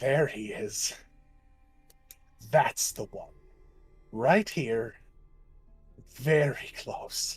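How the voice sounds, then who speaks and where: A man cackles in a put-on character voice at a medium pitch, his tone menacing. He speaks at a very slow pace with long, frequent pauses. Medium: actual play. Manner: menacing, cackling.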